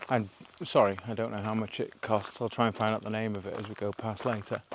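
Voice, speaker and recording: A man mumbling at a very fast pace, fairly low in pitch, with monotone, flat intonation. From North Wales. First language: Welsh. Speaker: hiking vlogger. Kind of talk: casual vlog narration. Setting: outdoors. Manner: rambling, casual.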